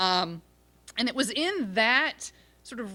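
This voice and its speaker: A loud woman's voice, bright and sharp in tone, with lively intonation on a very clean recording with a silent background. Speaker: law professor and author. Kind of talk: panel discussion talk. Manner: hesitant, many fillers.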